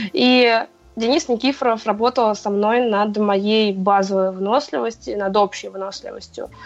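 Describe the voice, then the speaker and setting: A woman with a fairly high pitch speaks at a moderate pace. Music plays in the background. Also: ordinary pitch variation. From Moscow, Russia. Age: 20s. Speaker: CrossFit athlete and coach. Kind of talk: casual interview.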